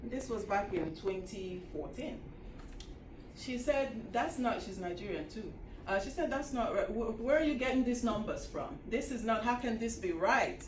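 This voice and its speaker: Lively intonation comes through at a moderate pace, with audible room echo and noticeable background noise. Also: woman, fairly high pitch for a woman. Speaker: historian. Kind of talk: lecture.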